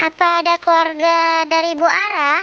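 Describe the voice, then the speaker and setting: This put-on character voice is squeaky and extremely high in pitch, with monotone, flat intonation at a moderate pace. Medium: machinima. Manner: encouraging.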